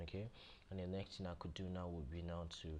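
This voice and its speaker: Audible room echo follows a man's very deep, low voice as he speaks at a fairly quick pace with fairly even intonation. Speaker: software tutor. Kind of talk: tutorial. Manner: fast; halting, many repetitions and fillers.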